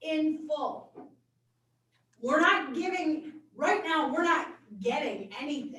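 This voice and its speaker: Loud speech at a very slow pace, with audible room echo around it. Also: woman. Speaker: board member at public hearing. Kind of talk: public hearing debate.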